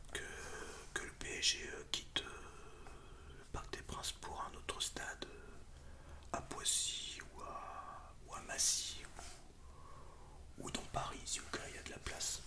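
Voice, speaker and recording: A man whispers at a very slow pace with long, frequent pauses. Noticeable background noise sits behind him. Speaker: ASMR creator. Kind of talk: casual ASMR talk about football. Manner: whispered.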